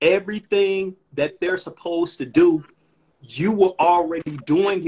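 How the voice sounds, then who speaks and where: A man's high-pitched voice at a fairly slow pace, with fairly even intonation. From Chicago. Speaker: rapper. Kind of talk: casual chat. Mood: relaxed, appreciative. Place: home room. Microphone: phone near.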